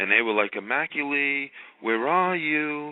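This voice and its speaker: Over noticeable background noise, a man speaks at a fairly slow pace and medium pitch, his voice making very wide pitch swings. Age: 60s. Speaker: caller. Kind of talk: testimony. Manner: halting.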